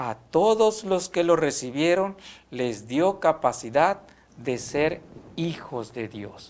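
Here a man talks with lively intonation. His pitch sits fairly high. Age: young. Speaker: seminarian. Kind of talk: religious teaching. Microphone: lapel.

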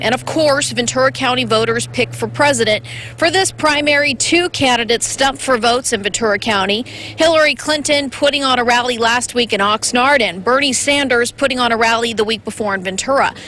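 Amid noticeable background noise, a woman speaks in a high pitch with ordinary pitch variation, very even loudness and hardly any pauses. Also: fairly quick pace. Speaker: TV reporter. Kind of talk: live field report. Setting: outdoors.

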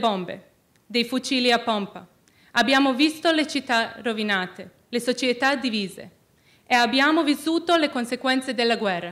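Speaking in a non-native accent at a fairly slow pace, a woman uses a high pitch with ordinary pitch variation over a quiet background. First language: not Italian (speaking Italian). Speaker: student peace activist; speaker. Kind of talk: prepared speech. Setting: stage with audience. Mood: earnest, solemn. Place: hall. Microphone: podium.

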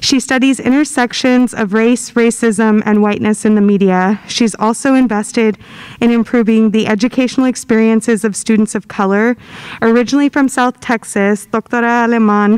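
In a normal speaking voice, a woman talks at a moderate pace with a fairly high pitch and fairly even intonation. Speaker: university diversity director; event host introducing speaker. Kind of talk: event introduction. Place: hall. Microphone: podium.

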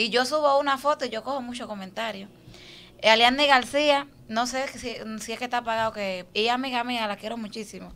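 At a high pitch and a fairly quick pace, a woman speaks with fairly even intonation and big swings in loudness. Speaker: social media personality; guest. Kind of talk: interview. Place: studio. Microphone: studio mic.

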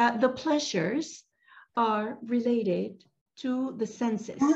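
A woman speaks somewhat breathily against a quiet background. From Venezuela. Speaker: meditation teacher. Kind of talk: guided meditation. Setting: video call. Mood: calm, gentle. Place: home room. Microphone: video call.

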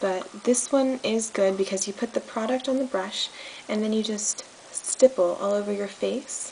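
A woman talks at moderate speed with ordinary pitch variation while light noise sits behind her. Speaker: makeup tutorial host. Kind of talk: tutorial. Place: home room. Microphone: phone near.

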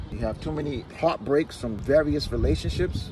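A man at a moderate pace, dry sound with no echo, music in the background. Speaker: relationship commentator. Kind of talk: casual opinion monologue. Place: car. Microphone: phone near.

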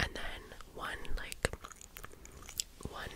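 Soft-spoken whispering. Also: woman. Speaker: beauty vlogger. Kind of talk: casual makeup tutorial chat. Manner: soft close-mic ASMR whisper. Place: home room. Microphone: studio mic.

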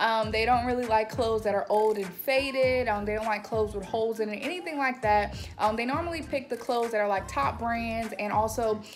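Faint music plays in the background as a woman talks at a fairly quick pace with hardly any pauses and ordinary pitch variation. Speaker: lifestyle vlogger. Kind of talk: casual vlog chat. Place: home room. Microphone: phone near.

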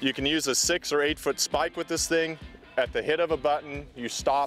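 Faint music plays in the background as a man speaks, his sound dry with no echo. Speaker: presenter. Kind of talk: product walkthrough. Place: open country.

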